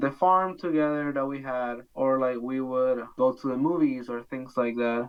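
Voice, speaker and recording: Speech in a Spanish accent at a moderate pace. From Bolivia, Santa Cruz. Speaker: international student. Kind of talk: interview. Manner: casual, frequent fillers.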